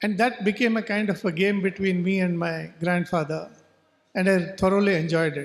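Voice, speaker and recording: A man with a Goan accent, a high pitch and fairly even intonation. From coastal Karnataka, India, near Karwar. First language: Konkani. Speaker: writer. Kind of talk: literary festival talk.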